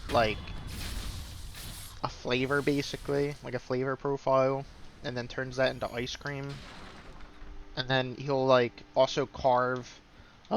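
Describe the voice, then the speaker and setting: This man's voice sits at a medium pitch, moving at a fairly slow pace with long, frequent pauses. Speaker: gaming streamer. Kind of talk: gameplay commentary. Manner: slower, lower energy today. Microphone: recording a little quiet.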